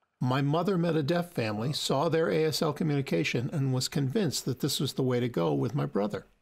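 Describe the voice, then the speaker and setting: A man talks very fast with hardly any pauses, his somewhat breathy voice holding a very even loudness while the intonation stays lively. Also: fairly high pitch for a man, very clean recording, silent background. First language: American Sign Language. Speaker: sign language interpreter. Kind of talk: interpreted voice-over of signed conversation.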